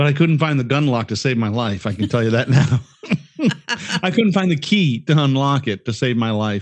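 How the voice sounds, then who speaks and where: At a fairly quick pace, a man uses an unremarkable speaking voice of medium pitch with lively intonation. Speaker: podcast co-host. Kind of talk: casual chat. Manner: giddy, laughs a lot, rambling.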